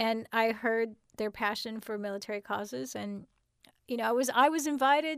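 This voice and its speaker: Heard against a silent background in a very clean recording, this is an ordinary speaking voice with an American accent and ordinary pitch variation. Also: woman. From Southern California. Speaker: screenwriter and TV producer. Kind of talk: interview. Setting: studio.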